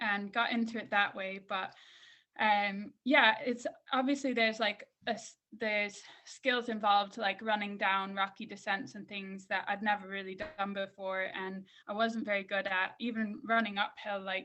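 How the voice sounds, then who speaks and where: This woman speaks with an American accent at a moderate pace. Her pitch is medium and her intonation fairly even. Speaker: mountain runner and coach. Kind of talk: interview. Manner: casual, frequent fillers.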